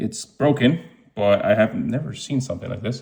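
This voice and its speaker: The man's tone is dark and mellow, and somewhat breathy. He talks at a fairly quick pace with ordinary pitch variation. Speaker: watch reseller YouTuber. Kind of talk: unboxing commentary. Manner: casual with fillers.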